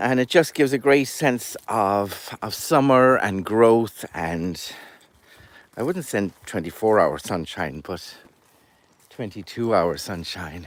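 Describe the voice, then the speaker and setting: Speaking at a very slow pace with an Irish accent, this voice swings very widely in pitch. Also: man, fairly low pitch for a man. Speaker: storyteller and goat farmer. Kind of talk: casual chat.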